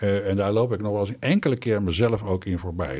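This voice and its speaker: A man's fairly low, somewhat breathy voice at a fairly quick pace with ordinary pitch variation, on a very clean recording with a silent background. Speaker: former politician. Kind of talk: interview. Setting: studio.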